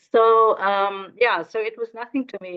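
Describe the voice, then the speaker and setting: A woman is speaking. She has an Afrikaans South African accent. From South Africa, Northern Cape. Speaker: educator and fashion designer. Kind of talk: interview conversation. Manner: halting, many repetitions.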